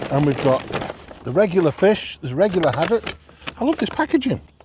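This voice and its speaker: A man's pitch swings very widely as noticeable background noise plays underneath. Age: 60s. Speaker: food reviewer. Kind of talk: casual vlog review while eating. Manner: animated.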